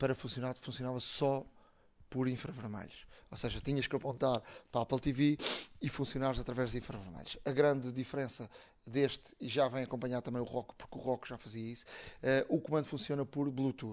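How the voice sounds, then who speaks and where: A man speaks at a medium pitch in a normal speaking voice. His intonation is fairly even. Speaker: tech podcast host. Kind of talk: casual chat.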